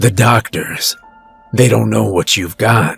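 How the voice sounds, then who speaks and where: A man's raspy, put-on character voice over faint background music. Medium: read story. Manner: laconic, detached.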